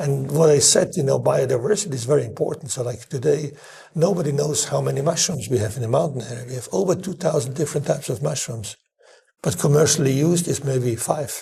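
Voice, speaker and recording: A man speaks at a fairly quick pace, his fairly high voice dark and mellow in tone. Vocal fry runs through his speech, and his pitch varies in an ordinary way. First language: German. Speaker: chef. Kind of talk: interview conversation. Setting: in person. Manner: halting, frequent repetitions and fillers.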